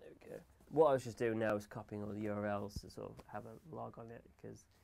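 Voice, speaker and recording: Here a man talks at a fairly quick pace. He has an English accent. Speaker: gaming livestreamer. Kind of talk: live stream tutorial chat. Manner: mumbles and stutters; talks fast without pausing for breath. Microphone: audio problems in stream.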